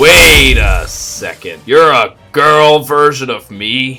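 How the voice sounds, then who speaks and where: Using a put-on character voice, a man speaks in a raspy tone at a very slow pace. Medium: dub. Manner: sarcastic, flippant.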